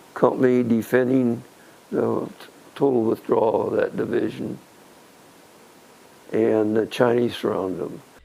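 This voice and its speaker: A man with an American accent talks at a fairly slow pace, pausing long and often. There is noticeable background noise. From Nebraska, US Midwest. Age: 80s+. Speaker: interviewee, relative of a fallen soldier. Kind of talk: interview.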